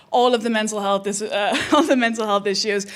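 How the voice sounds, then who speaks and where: Over noticeable background noise, a woman speaks with fairly high pitch and ordinary pitch variation. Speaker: comedian and host. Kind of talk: stand-up. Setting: stage with audience.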